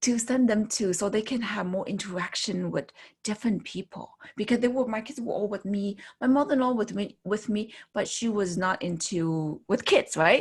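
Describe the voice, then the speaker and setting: At a moderate pace, a woman talks in a fairly high, somewhat breathy voice whose pitch varies in an ordinary way. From China. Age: 50s. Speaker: fitness coach. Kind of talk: interview answer.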